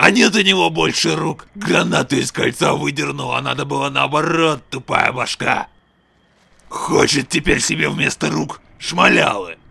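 A man puts on a cartoonish character voice. It is raspy and sits at a medium pitch. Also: moderate pace. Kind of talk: comic cartoon dub. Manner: boastful, crude, chatty.

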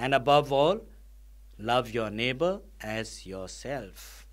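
Lively intonation at a slow pace. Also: man, medium pitch for a man.

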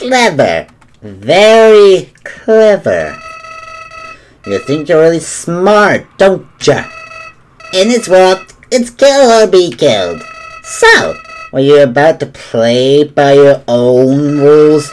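Putting on a character voice, a man speaks very slowly in a high pitch with very wide pitch swings and long, frequent pauses. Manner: sinister, taunting.

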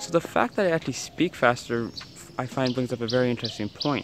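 A man with an ordinary speaking voice talks at a medium pitch, the sound dry with no echo and light background noise behind him. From Canada. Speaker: travel vlogger. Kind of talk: travel vlog talk to camera. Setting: outdoors. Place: street. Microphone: phone near.

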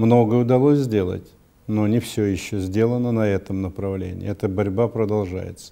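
In a dark, mellow tone, a man talks at a moderate pace, his fairly low pitch held in fairly even intonation. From Russia. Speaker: politician. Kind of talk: interview statement. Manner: formal. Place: office.

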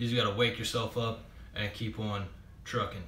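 Light background noise and audible room echo surround a man talking at a fairly quick pace with monotone, flat intonation. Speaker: army reservist. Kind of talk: casual chat. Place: home room. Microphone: webcam.

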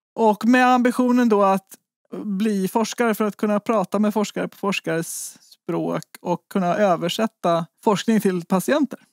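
A normal speaking voice with ordinary pitch variation. The recording is very clean and dry, with a silent background, a close sound and no echo. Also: woman. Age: 40s. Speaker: researcher and patient advocate. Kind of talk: interview.

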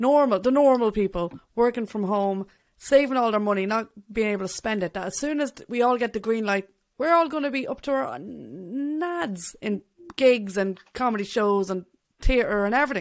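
A fairly high-pitched woman with an Irish accent, lively intonation and a moderate pace over a quiet background. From Ireland. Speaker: podcast host and bassist; podcast host. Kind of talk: casual interview. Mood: friendly, enthusiastic. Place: home room. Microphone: studio mic.

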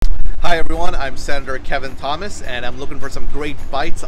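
There is clear music in the background. Over it, a man talks. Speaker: local politician hosting a food show. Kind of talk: presenter intro to camera. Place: street.

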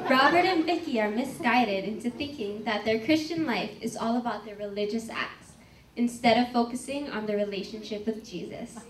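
A woman with lively intonation at a moderate pace, amid audible room echo and light background noise. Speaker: narrator of a church skit. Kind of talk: narration. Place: church.

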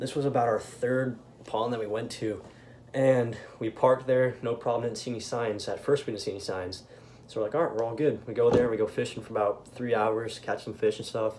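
A man speaks at a fairly quick pace with fairly even intonation. Noticeable background noise runs behind him. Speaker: vlogger. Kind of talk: casual vlog chat. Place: home room. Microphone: phone near.

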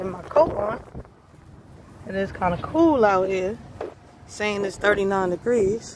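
Amid noticeable background noise, a woman of medium pitch speaks at a very slow pace with long, frequent pauses, big swings in loudness, and ordinary pitch variation. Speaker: truck driver vlogger. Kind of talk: casual vlog. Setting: in truck, on the road.

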